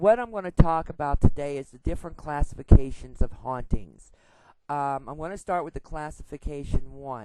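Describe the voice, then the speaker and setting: A dark, mellow, very deep, low woman's voice. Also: ordinary pitch variation, moderate pace, big swings in loudness. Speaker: paranormal investigator vlogger. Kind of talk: informal tutorial. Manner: loud; casual, with many fillers.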